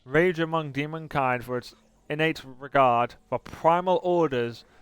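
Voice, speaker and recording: A man at a very slow pace with ordinary pitch variation, dry, close sound with no echo, and music in the background. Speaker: gamer reading in-game lore entries. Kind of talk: reading game lore text aloud. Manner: occasional stuttering and hesitations.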